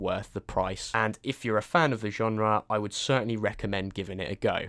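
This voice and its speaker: A man with a British accent, fairly quick pace. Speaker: game reviewer. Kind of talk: scripted review.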